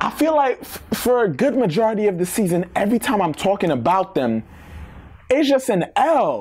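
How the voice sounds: Over faint background noise, a slightly mellow tone rides big swings in pitch. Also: man.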